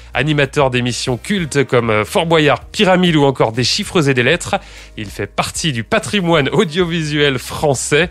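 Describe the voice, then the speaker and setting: Over background music, a man with a fairly high pitch speaks at a moderate pace with lively intonation. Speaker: podcast host. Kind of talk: podcast interview questions.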